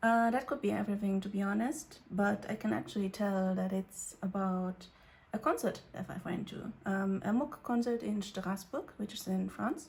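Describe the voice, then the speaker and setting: A woman is speaking quietly. Her voice is somewhat breathy. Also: medium pitch for a woman, ordinary pitch variation, moderate pace. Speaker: youtuber. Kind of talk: casual vlog chat. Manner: hesitant, many fillers.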